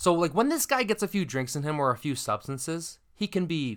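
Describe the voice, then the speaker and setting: Speaking with a Canadian accent, a man uses a plain, everyday voice. His moderate pace carries lively intonation. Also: very clean recording, silent background. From Canada. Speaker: podcast host. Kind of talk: casual chat, storytelling.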